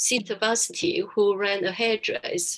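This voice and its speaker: Her pace is moderate. This woman has a medium pitch. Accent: Taiwanese. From Taiwan. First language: Chinese. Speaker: charity founder and businesswoman. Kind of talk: webinar talk.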